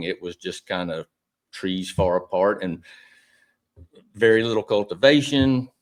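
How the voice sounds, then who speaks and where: A man's fairly low-pitched, normal speaking voice on a very clean recording with a silent background. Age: 60s. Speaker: citrus grower and soil health consultant. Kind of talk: podcast conversation.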